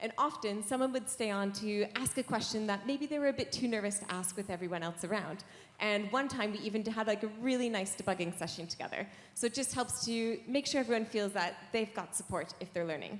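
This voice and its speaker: A woman talks at a fairly quick pace with a Canadian accent and a fairly high pitch. It is an ordinary speaking voice with ordinary pitch variation. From Canada. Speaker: software engineer, conference speaker. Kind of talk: conference lightning talk. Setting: stage with audience.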